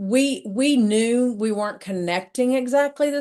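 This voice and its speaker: A woman at a fairly slow pace with lively intonation. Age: 60s. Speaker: author and entrepreneur sharing a DNA discovery story. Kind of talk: podcast interview, personal testimony. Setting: podcast interview. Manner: repetitive, halting restarts.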